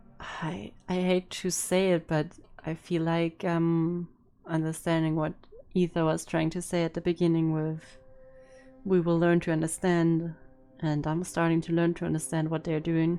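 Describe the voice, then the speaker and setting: With music in the background, a woman speaks at a moderate pace in a fairly low pitch and a monotone, flat intonation. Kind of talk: game reaction commentary.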